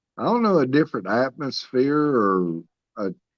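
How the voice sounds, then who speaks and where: At a fairly slow pace, a man's medium-pitched voice makes very wide pitch swings, recorded dry and close with no echo against a quiet background. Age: 60s. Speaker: caller. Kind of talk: casual chat. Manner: halting.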